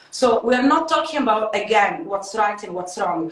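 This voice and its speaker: Lively intonation from a woman, with audible room echo and noticeable background noise. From Italy. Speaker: life coach and beauty influencer. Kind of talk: casual chat.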